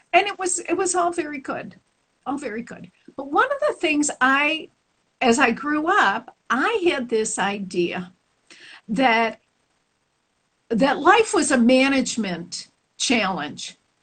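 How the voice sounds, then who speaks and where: Speaking at a very slow pace with a Chicago accent, a woman uses a high pitch, very wide pitch swings, big shifts in loudness, and long, frequent pauses. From Chicago, US Midwest. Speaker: spiritual teacher. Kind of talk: interview. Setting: live stream audio.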